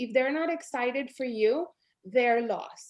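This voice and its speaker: Ordinary pitch variation in a woman's animated-toned voice. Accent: Spanish. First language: Spanish. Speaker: network marketing leader. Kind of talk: motivational pep talk.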